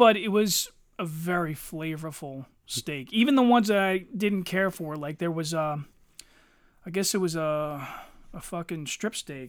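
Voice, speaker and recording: Someone speaks at a fairly slow pace with an American accent and ordinary pitch variation. The recording is very clean, with a silent background. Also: man, high pitch for a man. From Philadelphia area, US. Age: 40s. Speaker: podcast co-host, army veteran. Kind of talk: casual chat.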